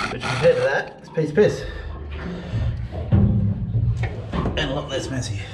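The man talks at a very slow pace while loud background noise fills the clip. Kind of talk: casual vlog chat. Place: boat. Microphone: phone near.

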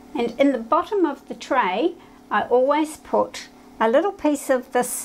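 A woman's high-pitched voice at a fairly slow pace. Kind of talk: tutorial. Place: home room. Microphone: lapel.

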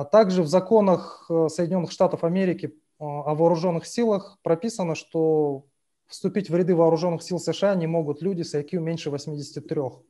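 Over a quiet background, a dark, mellow tone carries fairly even intonation. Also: man, high pitch for a man, moderate pace. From Kazakhstan. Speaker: audience member. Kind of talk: asking a question. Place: home room. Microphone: video call.

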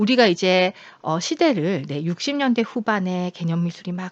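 A woman at a fairly slow pace and medium pitch, her sound dry and close with no echo against a quiet background. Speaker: university lecturer in contemporary art. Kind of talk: recorded online lecture. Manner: conversational, many fillers.

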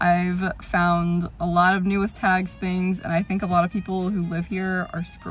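A woman speaks in a flat monotone while faint music plays in the background. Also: dry sound with no echo. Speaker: vlogger. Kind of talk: casual vlog chat. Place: car. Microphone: phone near.

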